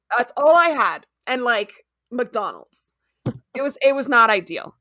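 A woman's raised, projected voice in an American accent, high pitch, bright, sharp tone and lively intonation. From Miami, Florida, with childhood time in Ecuador. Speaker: pet sitting business owner and podcast host. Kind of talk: casual interview chat.

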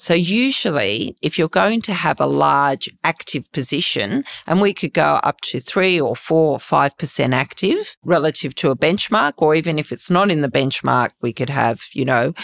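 In an Australian accent, a woman speaks at a very deep, low pitch with vocal fry, lively intonation and hardly any pauses. The sound is dry and close with no echo, on a very clean recording with a silent background. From Sydney, Australia. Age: 50s. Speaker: fund manager. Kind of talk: interview.

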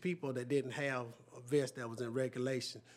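Speaking at a fairly quick pace, a man talks in a Southern US accent. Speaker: sheriff. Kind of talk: public meeting.

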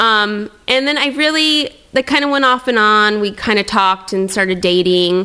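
A woman's fairly high voice at a moderate pace, lively intonation, very even loudness and hardly any pauses. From US Pacific Northwest, Tri-Cities, Washington. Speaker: entrepreneur and influencer. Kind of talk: casual interview chat.

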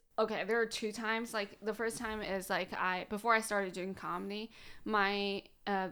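Over a very clean recording with a silent background, a woman speaks at a medium pitch and a moderate pace, her tone bright and sharp and her intonation monotone and flat. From China, Shandong province. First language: Chinese. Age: 30s. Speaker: comedian. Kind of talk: casual chat. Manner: frequent fillers, says um a lot.

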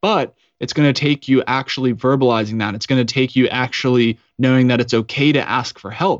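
With an ordinary speaking voice, a man with an American accent talks at a fairly quick pace in a medium pitch with ordinary pitch variation. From Colorado. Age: 30s. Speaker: Navy veteran and podcaster. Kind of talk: interview.

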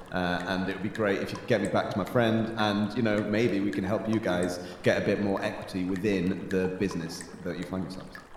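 Through noticeable background noise, a man with a fairly low pitch talks at a fairly quick pace. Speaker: podcast host. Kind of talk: improvised comedy role-play. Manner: animated, playful.

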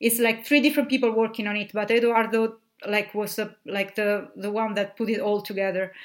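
A woman with an Italian accent speaks in a fairly high pitch. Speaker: literary translator. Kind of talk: casual interview conversation. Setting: remote call, recorded separately. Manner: halting, many fillers.

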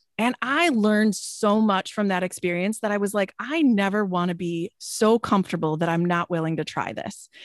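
A woman with an ordinary speaking voice talks at a medium pitch and a moderate pace, with ordinary pitch variation, in a dry, close sound with no echo. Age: 40s. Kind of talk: interview conversation.

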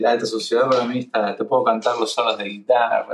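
At a fairly quick pace, a man is talking. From Argentina, Buenos Aires. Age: 30s. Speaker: singer-songwriter and guitarist. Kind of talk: casual chat.

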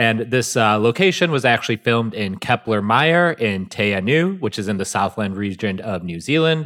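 On a very clean recording with a silent background, a man with a plain, everyday voice speaks at a moderate pace and medium pitch, his intonation lively. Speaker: podcast co-host. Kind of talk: casual chat and scripted recap reading.

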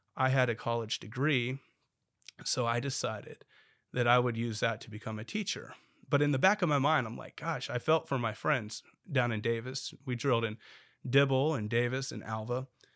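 A man with an American accent and a plain, everyday voice speaks at a moderate pace with a medium pitch and ordinary pitch variation, on a very clean recording with a silent background. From Oklahoma, Bartlesville. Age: 30s. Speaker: state legislator. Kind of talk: interview conversation.

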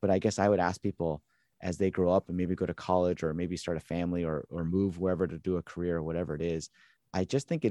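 A man's very deep, low voice with an American accent, fairly quick and fairly even in intonation, dry and close with no echo, over a quiet background. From US, Southern California. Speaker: pastor. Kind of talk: casual chat.

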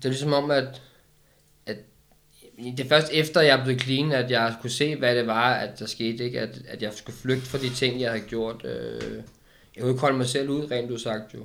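Fairly slow, fairly even speech from a man at medium pitch. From Denmark, Køge. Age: 30s. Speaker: recovered addict. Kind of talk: casual interview. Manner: halting.

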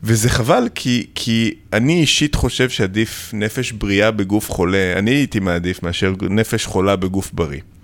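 A man speaks in a fairly low voice with ordinary pitch variation. His loudness stays very even, and he hardly pauses. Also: moderate pace. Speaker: plastic surgeon, podcast host. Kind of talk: interview. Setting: studio.

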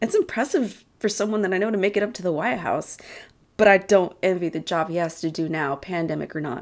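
Speaking at a moderate pace, a woman with an American accent shows ordinary pitch variation. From Texas (small town). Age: 30s. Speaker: podcaster. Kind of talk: personal storytelling monologue. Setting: house-sitting, away from usual recording spot.

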